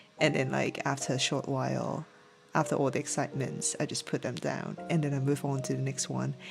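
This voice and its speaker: A man with a strong Hong Kong accent at a fairly quick pace, music in the background. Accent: thick Hong Kong. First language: Cantonese. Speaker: vtuber streamer. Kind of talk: casual chat. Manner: halting.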